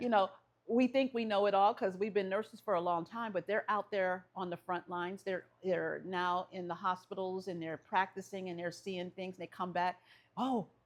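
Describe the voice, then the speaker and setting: At a moderate pace, a woman speaks at a medium pitch. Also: fairly even intonation. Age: 60s. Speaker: nursing professor. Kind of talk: interview.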